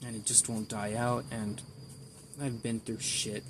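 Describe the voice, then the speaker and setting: Monotone and flat in intonation, a man speaks in a somewhat breathy voice at medium pitch. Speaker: amateur artist vlogger. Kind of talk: casual vlog monologue. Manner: halting, rambling with repeats.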